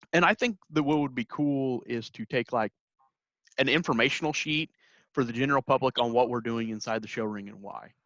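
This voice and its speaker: A man in a Midwestern accent at a fairly quick pace, dry and close with no echo, against a quiet background. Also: medium pitch for a man, ordinary pitch variation. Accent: Midwestern twang. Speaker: podcast host, youth extension worker. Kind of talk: casual podcast interview.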